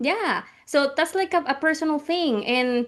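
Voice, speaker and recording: A woman speaks with a Spanish accent. Her pace is moderate. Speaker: podcast co-host. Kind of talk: casual chat. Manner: halting.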